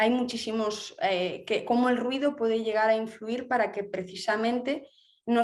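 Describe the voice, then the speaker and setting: Speaking with a Galician accent, a woman holds a fairly high pitch, fairly even intonation and a moderate pace. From Galicia, Spain. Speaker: architect. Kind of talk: interview. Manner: halting, many fillers.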